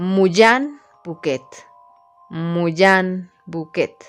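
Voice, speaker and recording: Faint music plays in the background as a hoarse, put-on character voice speaks at a middle pitch. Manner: sinister, incantatory.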